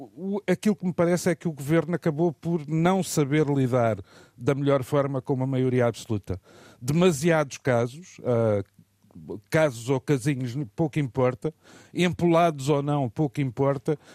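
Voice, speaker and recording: With a dark, mellow tone and a fairly high pitch, a man talks at a fairly slow pace with ordinary pitch variation in a dry, close recording with no echo. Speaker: political commentator. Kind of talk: radio commentary. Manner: halting.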